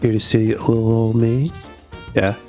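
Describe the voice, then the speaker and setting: Music plays in the background. A man speaks at a medium pitch and a fairly slow pace. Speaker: game streamer. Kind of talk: reading game story aloud with commentary.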